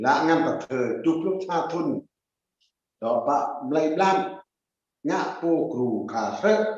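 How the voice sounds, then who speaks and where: Very slowly and with long, frequent pauses, a man with a high voice speaks in lively intonation, with audible room echo around him. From central Vietnam, Cham ethnic group. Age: 70s. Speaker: traditional medicine expert and elder. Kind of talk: conference presentation. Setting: online conference.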